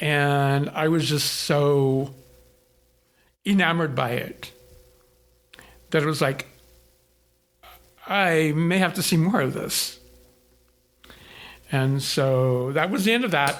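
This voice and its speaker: At a very slow pace, a man talks in a fairly high pitch with ordinary pitch variation and long, frequent pauses. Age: 60s. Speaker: photographer. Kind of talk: interview storytelling.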